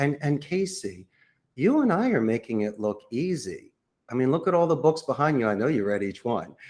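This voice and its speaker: With a Philadelphia accent and lively intonation, the speaker goes at a moderate pace on a very clean recording with a silent background. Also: man. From Philadelphia, US. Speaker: call center CEO. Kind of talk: podcast interview.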